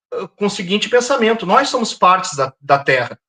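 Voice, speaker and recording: A man's raised, projected voice carries a bright, sharp tone and lively intonation. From southern Brazil, Porto Alegre. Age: 50s. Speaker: environmental activist. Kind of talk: interview.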